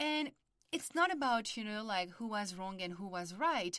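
A woman speaks at a fairly high pitch with very wide swings in pitch. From France. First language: French. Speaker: podcast host and family constellations therapist. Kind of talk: podcast intro monologue.

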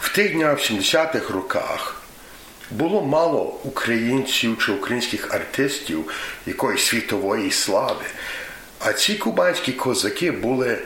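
Against noticeable background noise and audible room echo, a man speaks at a fairly slow pace with very even loudness. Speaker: former student organizer. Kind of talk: reminiscence.

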